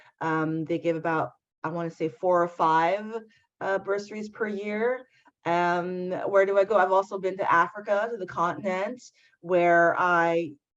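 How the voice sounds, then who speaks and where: A woman speaks at a medium pitch. She has a French accent. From Canada, Montreal/Ottawa area. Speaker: diversity and inclusion activist. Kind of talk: interview conversation.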